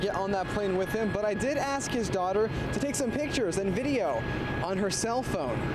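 A man's voice over loud background noise. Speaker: news reporter. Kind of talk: TV news report. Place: open country. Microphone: handheld.

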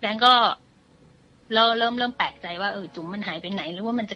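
Her voice bright and sharp, a woman speaks at a fairly high pitch. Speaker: guest storyteller. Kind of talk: ghost story told on a radio show. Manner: conversational.

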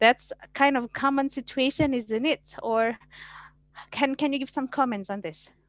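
In an Indonesian accent, a woman speaks at a high pitch with ordinary pitch variation and a moderate pace. The sound is dry with no echo, over a quiet background. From Indonesia (West Java). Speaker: law lecturer; webinar moderator. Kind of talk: online class moderation. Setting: video call. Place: home room. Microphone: headset.

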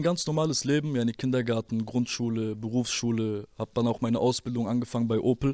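Over a quiet background, a man talks at a moderate pace with fairly even intonation in a dry sound with no echo. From Germany, Rüsselsheim (Hesse); Hesse, Germany. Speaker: former rapper; interview guest. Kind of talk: interview testimony; interview answer. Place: studio. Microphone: handheld.

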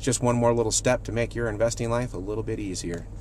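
A man's very fast speech, dry with no echo, over light background noise. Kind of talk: casual vlog tip. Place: car. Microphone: phone near.

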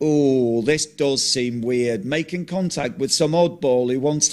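A natural voice reading aloud, its pitch variation ordinary

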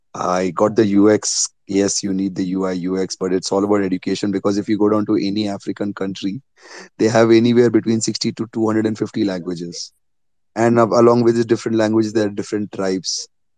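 Against a quiet background, a man with a dark, mellow tone and fairly low pitch talks fairly quickly in a monotone, flat intonation, the sound dry and close with no echo. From India. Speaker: bitcoin traveller and meetup organiser. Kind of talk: casual interview.

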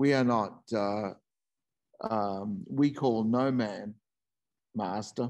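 Speaking at a very slow pace with long, frequent pauses and ordinary pitch variation, a man with an Australian accent is heard over a quiet background. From Northern New South Wales, Australia. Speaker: presenter. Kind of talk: talk; lecture. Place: home room. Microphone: video call.

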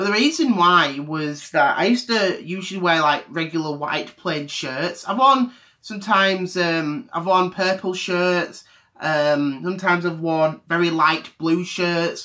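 Against a quiet background, a man speaks at a moderate pace in a high pitch with a bright, sharp tone and ordinary pitch variation. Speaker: vlogger. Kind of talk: casual vlog chat. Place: home room. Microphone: webcam.

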